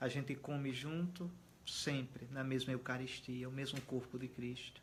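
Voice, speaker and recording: A man speaks at a moderate pace. His medium-pitched voice is somewhat breathy. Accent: strong northeastern Brazilian. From Alagoas, Brazilian Northeast. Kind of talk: interview conversation. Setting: host's home.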